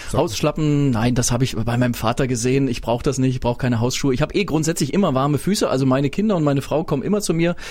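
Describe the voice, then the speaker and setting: Through noticeable background noise, a man with a fairly high pitch speaks at a very fast pace. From Swabia, Stuttgart area (early years in Berlin). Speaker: radio host. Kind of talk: casual chat. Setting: studio.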